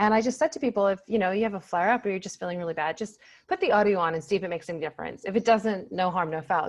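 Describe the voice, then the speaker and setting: Talking very fast with a North American accent, a woman uses a medium pitch and ordinary pitch variation. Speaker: pain psychologist. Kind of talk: casual interview chat. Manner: animated.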